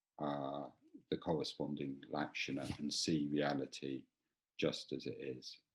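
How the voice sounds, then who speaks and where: A quiet man talks at a very slow pace in a very deep, low voice. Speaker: Buddhist teacher. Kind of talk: dharma talk. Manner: halting, many fillers and repetitions. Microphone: too quiet.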